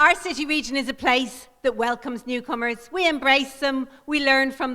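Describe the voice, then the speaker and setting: Projecting a raised voice in an Irish accent, a woman speaks at a moderate pace with a high pitch and fairly even intonation. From Ireland. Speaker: mayoral candidate, politician. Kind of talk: political speech. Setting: stage with audience.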